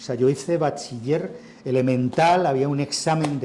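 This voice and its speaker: Over noticeable background noise, a man with a Madrid accent speaks at a moderate pace in a fairly high pitch. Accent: central Spain (Madrid) Spanish. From Spain, Madrid. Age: 60s. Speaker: writer and journalist. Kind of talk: interview at a literary festival. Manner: conversational, with false starts and fillers.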